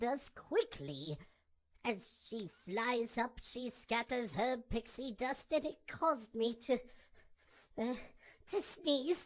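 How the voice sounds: In a cartoonish character voice, a female-sounding speaker with a high pitch moves at a very slow pace, leaving long, frequent pauses.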